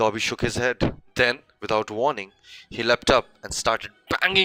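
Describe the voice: Someone is reading aloud. The delivery is plain.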